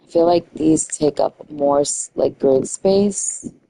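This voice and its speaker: In a dry, close recording with no echo, a woman with a New York accent speaks at a fairly low pitch in a dark, mellow tone. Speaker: gaming streamer. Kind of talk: casual live-stream commentary. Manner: chatty, thinking aloud.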